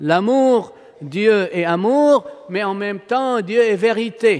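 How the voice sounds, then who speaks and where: A man's pitch varies in an ordinary way as he talks very slowly. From Palestine. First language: Arabic (speaking French). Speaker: priest. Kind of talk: sermon. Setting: church.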